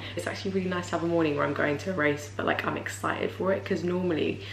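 A woman's very deep, low voice at a very fast pace, with light background noise and audible room echo. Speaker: vlogger. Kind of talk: casual vlog chat. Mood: warm and reflective. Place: home room. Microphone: camera far.

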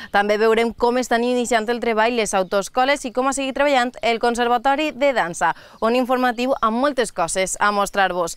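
A woman speaks at a moderate pace in an unremarkable speaking voice, fairly high with ordinary pitch variation. The sound is dry with no echo, and the background is quiet. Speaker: news presenter. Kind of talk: news reading. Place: open country. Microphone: lapel.

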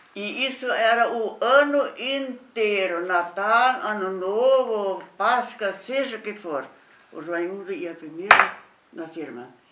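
Very slow speech with lively intonation and big swings in loudness comes through noticeable background noise. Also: woman. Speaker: company founder's widow; interviewee. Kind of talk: oral history interview. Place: home room. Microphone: camera far.

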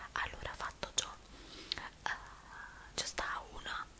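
Whispering from a woman. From Naples. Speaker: ASMR beauty creator. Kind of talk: ASMR makeup tutorial. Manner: whispered. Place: home room. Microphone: studio mic.

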